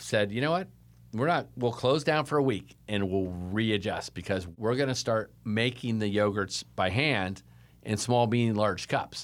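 A man at medium pitch with a Californian accent, fairly slow pace, ordinary pitch variation, very even loudness, and a very clean recording with a silent background. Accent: Californian American. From Davis, California. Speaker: frozen yogurt shop owner. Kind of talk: interview conversation.

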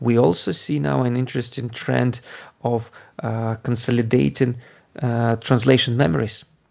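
A man speaks with a Ukrainian accent and ordinary pitch variation. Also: medium pitch for a man, moderate pace. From Ukraine. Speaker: translation company founder. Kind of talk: interview. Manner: halting.

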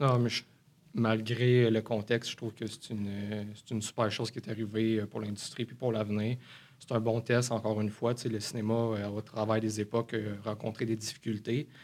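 The man's intonation stays monotone and flat. His speech moves at a fairly quick pace. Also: medium pitch for a man. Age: 20s. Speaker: cinema manager. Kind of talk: interview.

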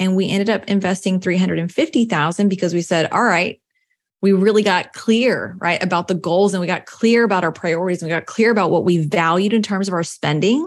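This woman has a normal speaking voice with an American accent, medium pitch, ordinary pitch variation and a fairly quick pace. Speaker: personal finance coach. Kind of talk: interview.

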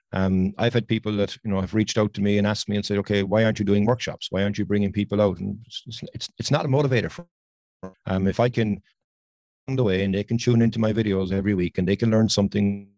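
In an Irish accent, a man talks at a very fast pace with a fairly low pitch and a dark, mellow tone, the sound dry and close with no echo. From Ireland. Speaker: landscape photographer and podcaster. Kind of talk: casual interview chat. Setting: video call. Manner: talkative, enthusiastic.

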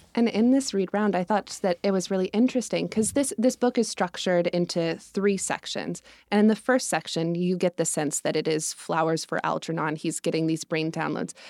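A woman with an American accent talks at a moderate pace in a fairly low pitch with ordinary pitch variation and hardly any pauses, a normal speaking voice, in a dry, close sound with no echo on a very clean recording with a silent background. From Colorado. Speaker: market researcher and grad student. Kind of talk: casual chat.

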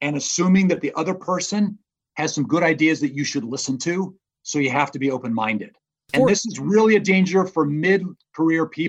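Speaking at a fairly quick pace, a man uses lively intonation in a high pitch. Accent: American. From Indiana, US Midwest. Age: 50s. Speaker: business professor and author. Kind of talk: interview. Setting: remote call.

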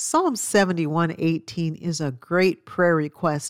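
A woman with an unremarkable speaking voice speaks at a fairly slow pace in a very clean recording with a silent background and a dry, close sound with no echo. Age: 60s. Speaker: Bible teacher and author. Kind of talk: Bible study talk.

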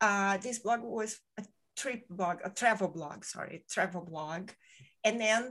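The speaker is a woman. She talks with a Brazilian accent. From Brazil, Rio de Janeiro. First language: Portuguese. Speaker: podcaster. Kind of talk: casual interview chat. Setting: at home in Spain, in-person with one host. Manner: soft-spoken; bubbly.

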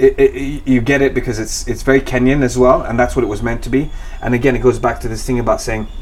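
Some room echo can be heard as a man talks. Background noise is noticeable throughout. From Kenya, western, near Lake Victoria. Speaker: environmental project founder. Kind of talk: interview. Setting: at his home. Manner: hesitant, many repetitions and fillers.

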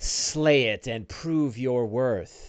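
Put-on character voice from a man at a medium pitch. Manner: commanding quest-giving.

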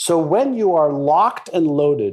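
A man speaks with an Israeli accent. His fairly high pitch swings very widely. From Montreal, Canada (moved from Israel at about six). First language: Hebrew. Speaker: mindset expert and author. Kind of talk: interview.

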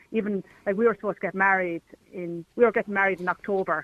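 This woman talks at a very fast pace with an Irish accent. Her pitch is medium. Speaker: caller. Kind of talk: radio phone-in discussion. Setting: phone call.

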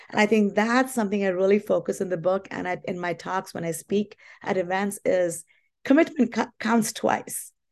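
The woman's medium-pitched voice moves at a moderate pace with ordinary pitch variation. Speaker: confidence educator and author. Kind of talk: interview answers.

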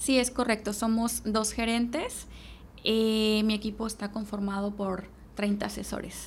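A woman speaks at a fairly slow pace in a fairly high pitch and a flat, monotone intonation, with noticeable background noise and audible room echo. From Mexico, Veracruz. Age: 30s. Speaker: real estate sales manager. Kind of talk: podcast interview.

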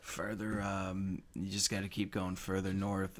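A man's put-on character voice, raspy and drawling, fairly low in pitch, at a moderate pace with monotone, flat intonation. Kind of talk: stoner surfer drawl. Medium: actual play. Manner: laid-back, drawling, says man a lot.

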